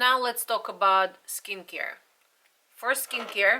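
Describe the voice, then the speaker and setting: The voice carries a non-native accent. Its pitch variation is ordinary. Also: woman. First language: not English. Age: 40s. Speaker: beauty vlogger. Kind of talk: product review.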